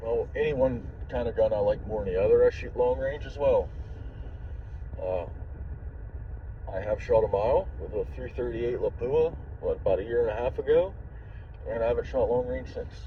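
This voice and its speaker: A man speaks at a fairly quick pace with long, frequent pauses. Noticeable background noise runs underneath. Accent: American. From Ohio, Steubenville. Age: 40s. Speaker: truck driver and gun vlogger. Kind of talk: casual vlog chat.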